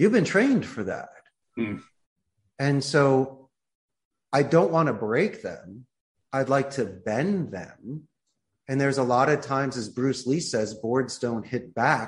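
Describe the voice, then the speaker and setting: Somewhat breathy speech with lively intonation at a fairly slow pace over a quiet background. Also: man. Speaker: business owner. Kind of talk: casual interview chat.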